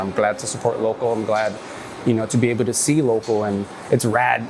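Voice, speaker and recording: Over noticeable background noise and audible room echo, a man talks at a fairly quick pace in an American accent. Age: 30s. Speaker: skateboarder. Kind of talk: casual interview monologue. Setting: local gym. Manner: relaxed, filler-heavy.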